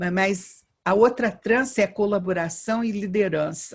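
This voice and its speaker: Her intonation fairly even, a woman talks at a medium pitch with a somewhat breathy voice. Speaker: education professor. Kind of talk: interview. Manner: halting, with repetitions.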